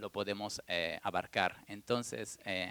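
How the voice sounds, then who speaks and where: The man's voice sits fairly low, with a bright, sharp tone and monotone, flat intonation, delivered at a fairly slow pace in a dry, close sound with no echo. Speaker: furniture brand director, economist. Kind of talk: panel talk. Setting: stage with audience at museum event. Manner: soft-spoken.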